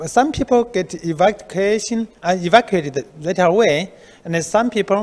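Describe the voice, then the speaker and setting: At a moderate pace, a man with a Chinese accent talks in a high voice with lively intonation. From China. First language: Mandarin Chinese. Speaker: research institute director. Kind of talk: interview. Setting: on location. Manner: halting. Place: office. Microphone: handheld.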